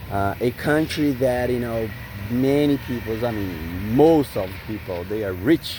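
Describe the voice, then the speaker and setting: Somewhat breathy delivery from a man with a Brazilian Portuguese accent, a medium pitch, a dark, mellow tone, ordinary pitch variation and a moderate pace. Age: 40s. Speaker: vlogger. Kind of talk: casual vlog monologue.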